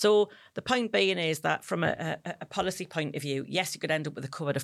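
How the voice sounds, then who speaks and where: A woman's unremarkable speaking voice, fairly quick with lively intonation, in a very clean recording over a silent background. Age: 50s. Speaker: menopause educator. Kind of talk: interview.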